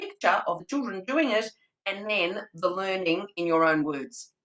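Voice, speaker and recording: Here is a woman with an Australian accent and a bright, sharp, animated tone. Her pitch swings very widely at a moderate pace. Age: 60s. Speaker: early childhood trainer. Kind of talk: webinar presentation. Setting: video call.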